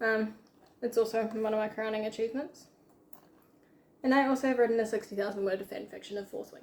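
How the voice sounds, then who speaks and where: With a New Zealand accent, a woman talks at a fairly quick pace and a fairly high pitch, her intonation fairly even. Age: young. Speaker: aspiring novelist and student. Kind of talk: casual chat while baking.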